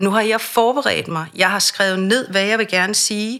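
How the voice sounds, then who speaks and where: At a fairly slow pace, a woman talks in a plain, everyday voice. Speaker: voice and speech coach. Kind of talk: interview.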